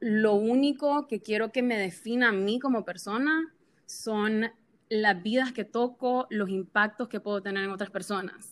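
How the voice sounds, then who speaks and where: Ordinary pitch variation marks speech at a fairly slow pace. The background is silent on a very clean recording. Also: woman, fairly high pitch for a woman. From Honduras. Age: 20s. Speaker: social media influencer. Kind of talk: interview.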